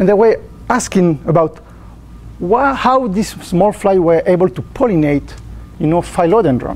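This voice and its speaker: A man with a strong French accent speaks at a high pitch with lively intonation. He leaves long, frequent pauses while music plays in the background. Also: moderate pace. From France. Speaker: botanist researcher. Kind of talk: lecture. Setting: conference talk with audience. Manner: halting; quiet. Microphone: no mic for room, only camera mic.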